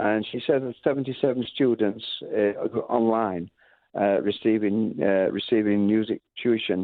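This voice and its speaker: A man with a Lancashire accent speaks at a moderate pace in a fairly low voice, his intonation fairly even. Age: 70s. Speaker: music school founder. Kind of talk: radio interview. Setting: radio interview. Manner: halting.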